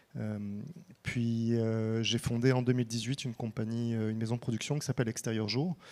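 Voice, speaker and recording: The voice has a dark, mellow tone and a moderate pace. Its intonation is fairly even. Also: man. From France. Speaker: film director and producer. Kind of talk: panel discussion. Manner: halting, many fillers.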